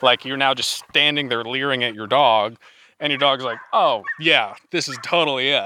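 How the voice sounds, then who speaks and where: A man with an ordinary speaking voice, medium pitch and moderate pace. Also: ordinary pitch variation. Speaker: dog handler. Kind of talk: casual interview.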